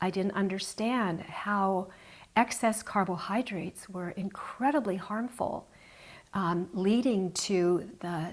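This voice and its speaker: The speech moves at a very slow pace with ordinary pitch variation. The recording is very clean, with a silent background. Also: woman. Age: 60s. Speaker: health show host. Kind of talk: casual chat.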